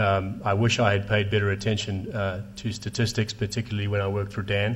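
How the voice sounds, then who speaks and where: A man's fairly low voice with a South African accent. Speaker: telecom investor. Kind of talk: panel discussion. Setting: stage with audience.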